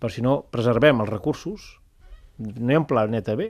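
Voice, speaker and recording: On a very clean recording with a silent background, a man speaks at a medium pitch and a moderate pace with ordinary pitch variation. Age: 40s. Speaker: public agency director. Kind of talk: radio interview.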